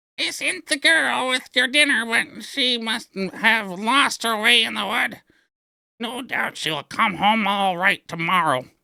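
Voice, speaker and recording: A man's raspy, put-on character voice, high in pitch, with lively intonation at a fairly slow pace. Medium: read story.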